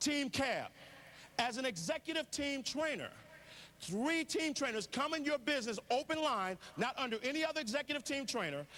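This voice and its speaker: With an extremely high pitch, a man speaks in a bright, sharp, animated tone and lively intonation. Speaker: network marketing speaker. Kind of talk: motivational business presentation. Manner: fast.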